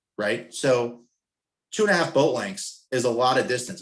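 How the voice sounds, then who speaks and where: Ordinary pitch variation accompanies a fairly quick pace. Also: man. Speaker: sailing coach presenter. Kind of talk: webinar presentation. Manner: fast; casual.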